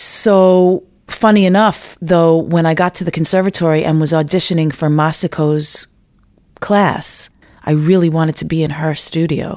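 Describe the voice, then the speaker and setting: A woman with an American accent has an unremarkable speaking voice at a fairly low pitch. She talks at a moderate pace with fairly even intonation. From New York City, Manhattan. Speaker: fiddler and composer. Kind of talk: interview.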